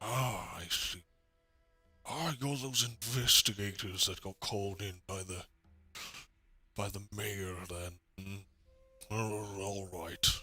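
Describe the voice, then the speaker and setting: Against music in the background, a man in a put-on character voice speaks at a fairly slow pace and fairly low pitch, with ordinary pitch variation and long, frequent pauses. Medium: actual play. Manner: brusque, dismissive.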